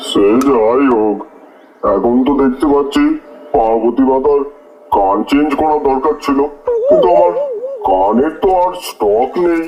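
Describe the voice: At a moderate pace, the speaker performs in a cartoonish character voice. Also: man, medium pitch for a man.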